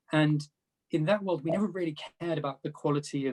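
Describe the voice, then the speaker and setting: Somewhat breathy, a man with a British accent talks at a fairly quick pace. His pitch is fairly high and his intonation fairly even. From UK. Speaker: panelist, data product executive. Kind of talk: panel discussion.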